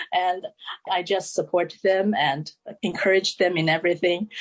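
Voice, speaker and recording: A woman with a Chinese accent speaks with music in the background. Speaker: author. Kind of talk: interview.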